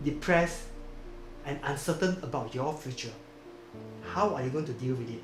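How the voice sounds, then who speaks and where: Fairly high pitch from a man, with ordinary pitch variation and music in the background. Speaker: book club host. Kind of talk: video introduction.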